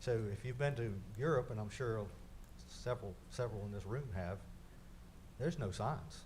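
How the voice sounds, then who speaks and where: Audible room echo surrounds a man speaking at a medium pitch with ordinary pitch variation. He keeps a moderate pace and takes long, frequent pauses. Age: 60s. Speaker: city engineer presenting to council. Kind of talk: council meeting presentation. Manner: halting, repetitive.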